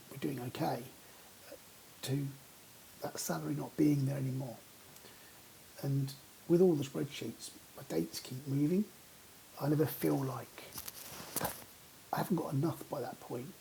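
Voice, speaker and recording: A man with a British accent at a moderate pace, with long, frequent pauses. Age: 50s. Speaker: vlogger. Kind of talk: personal vlog monologue. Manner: halting, many repetitions and fillers.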